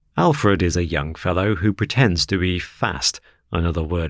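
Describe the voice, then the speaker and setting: A man with a very deep, low pitch at a moderate pace, on a very clean recording with a silent background. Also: dry, close sound with no echo. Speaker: audiobook narrator. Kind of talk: audiobook reading of classic fiction.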